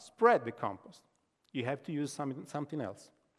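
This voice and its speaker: A man with a fairly high pitch and ordinary pitch variation speaks over a quiet background. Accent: Italian. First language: Italian. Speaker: professor. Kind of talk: lecture. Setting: stage with audience. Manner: halting.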